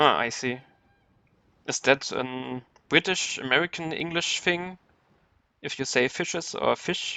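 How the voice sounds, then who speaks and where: A man with a German accent and ordinary pitch variation. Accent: German accent, noticeable. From Germany. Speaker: video game streamer. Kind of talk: live gameplay commentary. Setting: live stream.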